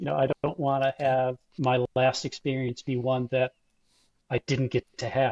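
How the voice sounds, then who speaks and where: In an ordinary speaking voice, a man with an American accent talks at a moderate pace and medium pitch, with fairly even intonation and a dry, close sound with no echo. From Buffalo, New York. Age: 60s. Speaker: long-distance cyclist and club ride organizer. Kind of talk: interview.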